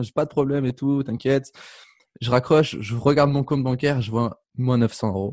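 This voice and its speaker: A man speaks at a moderate pace with a medium pitch. His intonation is fairly even, in an ordinary speaking voice. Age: 20s. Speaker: life coach and speaker. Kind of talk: interview. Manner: casual.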